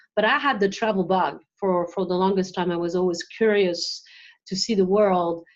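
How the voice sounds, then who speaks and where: At a moderate pace, the speaker talks in a French accent with fairly even intonation against a quiet background. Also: woman, medium pitch for a woman. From France, west coast. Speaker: marketing executive. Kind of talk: interview.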